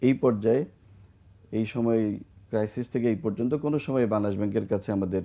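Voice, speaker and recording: The delivery has an ordinary speaking voice with ordinary pitch variation. Loudness stays very even. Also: man, medium pitch for a man. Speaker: bank chairman. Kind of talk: interview. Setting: studio.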